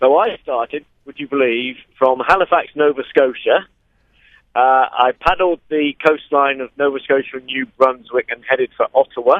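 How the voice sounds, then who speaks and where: A man speaks with a West Country accent. His pitch is fairly high and his intonation fairly even. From West Country of England, Dorset. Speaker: long-distance kayaker. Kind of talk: radio interview.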